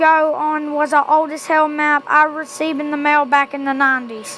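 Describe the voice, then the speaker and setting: A woman uses a raised, projected voice, high in pitch, at a moderate pace. Noticeable background noise can be heard. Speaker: amateur creepypasta reader. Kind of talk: horror story reading.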